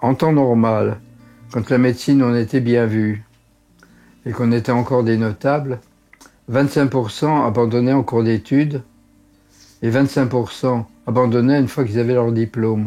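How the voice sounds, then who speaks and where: A man at medium pitch speaks at a moderate pace, with long, frequent pauses and fairly even intonation. His tone is dark and mellow, and his loudness stays very even. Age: 80s+. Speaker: doctor. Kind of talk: interview. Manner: halting.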